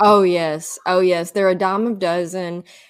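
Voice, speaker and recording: A woman with a Southern US accent talks at a fairly low pitch. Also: very clean recording, silent background. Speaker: energy healer, podcast host. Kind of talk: interview answer.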